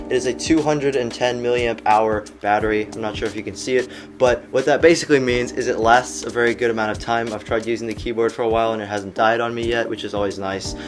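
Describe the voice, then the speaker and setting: With music in the background, a man of medium pitch talks at a very fast pace with hardly any pauses and ordinary pitch variation. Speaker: tech product reviewer. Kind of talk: product review. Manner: casual.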